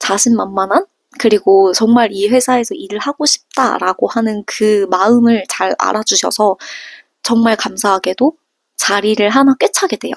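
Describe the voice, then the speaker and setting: A woman's normal speaking voice, fairly high in pitch, at a fairly slow pace, with a dry, close sound and no echo. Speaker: vlogger, working holiday hotel worker. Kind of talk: casual vlog storytelling.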